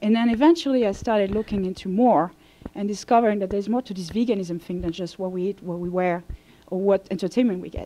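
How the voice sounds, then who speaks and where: A woman speaks very fast with a French accent. Her pitch is medium, with ordinary variation. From France. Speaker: vegan coach. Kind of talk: lecture.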